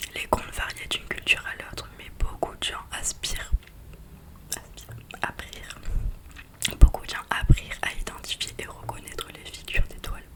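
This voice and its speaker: Whispering at a moderate pace, the speaker leaves long, frequent pauses amid noticeable background noise. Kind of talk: book reading. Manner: whispered.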